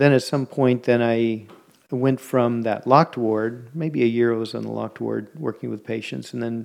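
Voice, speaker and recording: In an American accent, a man with a plain, everyday voice talks at medium pitch and a moderate pace, with fairly even intonation against a quiet background. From US West Coast (San Francisco Bay Area). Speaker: art gallery co-owner. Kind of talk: interview conversation.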